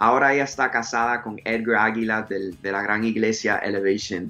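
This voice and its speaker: A man's fairly low voice, bright and sharp in tone, with fairly even intonation at a moderate pace. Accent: English. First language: English (speaking Spanish). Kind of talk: interview. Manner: halting.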